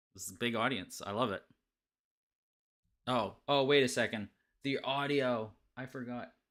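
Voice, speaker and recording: In a Canadian accent, a man of medium pitch speaks with a bright, sharp tone. His intonation is fairly even and his pace fairly slow. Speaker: podcast host. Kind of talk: casual chat. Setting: live stream video call.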